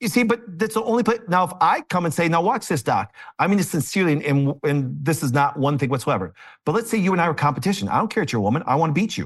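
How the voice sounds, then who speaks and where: Against a quiet background, a man with an American accent speaks at a high pitch and a very fast pace, his pitch swinging very widely while his loudness stays very even. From Green Bay, Wisconsin. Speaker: chiropractor. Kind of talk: casual interview. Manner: fast talker.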